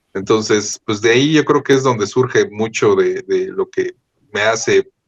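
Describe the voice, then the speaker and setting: The sound is dry and close, with no echo at all. A man speaks at a moderate pace. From Mexico City area (Estado de México suburbs). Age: 40s. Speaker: film and TV post-producer. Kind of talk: interview. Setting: at his workplace, remote interview.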